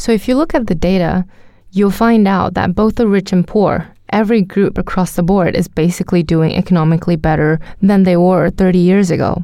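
A woman with a Chinese accent speaks at a fairly quick pace in a medium pitch and a dark, mellow tone. Her intonation is fairly even and her loudness very even. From China, Jiangsu. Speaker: podcast co-host. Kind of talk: narration and casual chat.

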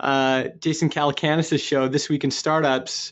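The man's delivery moves along at a fairly slow pace. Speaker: podcast host. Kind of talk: interview. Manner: polished presenter.

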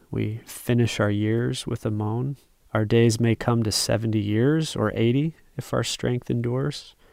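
A man's plain, everyday voice at medium pitch, fairly slow and fairly even in intonation. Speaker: Bible study participant. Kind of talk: small group Bible study conversation.

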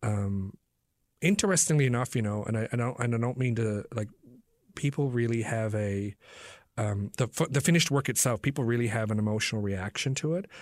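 A man at medium pitch with a Newfoundland accent, ordinary pitch variation and a fairly quick pace, on a very clean recording with a silent background. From Newfoundland, Canada. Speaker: playwright. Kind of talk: interview.

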